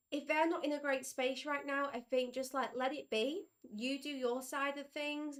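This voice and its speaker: The speaker is a woman with a high-pitched voice. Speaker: tarot reader. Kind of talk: live tarot reading. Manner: casual, conversational.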